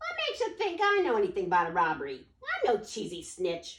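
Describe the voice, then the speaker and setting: Someone does a squeaky put-on character voice at a fairly quick pace. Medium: read story. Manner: sneering tough-guy.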